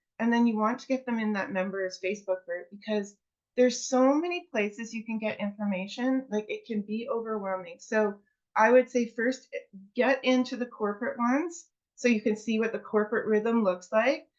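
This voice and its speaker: This woman has an unremarkable speaking voice with a fairly high pitch. She keeps a moderate pace and ordinary pitch variation. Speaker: network marketing presenter. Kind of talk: presentation to a seminar audience.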